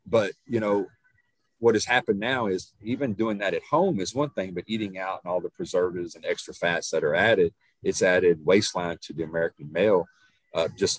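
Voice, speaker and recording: Here a man speaks with an East Texas accent at a fairly quick pace. The sound is dry and close, with no echo. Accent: East Texas Southern US. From Northeast Texas, small town. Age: 50s. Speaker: nutrition and fitness coach. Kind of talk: casual chat.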